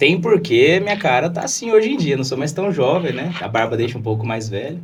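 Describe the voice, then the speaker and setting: A fairly quick, fairly high-pitched man's voice with very wide pitch swings and audible room echo. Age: 20s. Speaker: lawyer and political candidate. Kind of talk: podcast interview.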